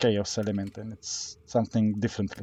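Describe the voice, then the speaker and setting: A man speaks with a non-native accent at a fairly low pitch. His intonation stays monotone and flat. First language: not English. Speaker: gaming youtuber. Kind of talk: gameplay tutorial commentary. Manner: hesitant, many fillers.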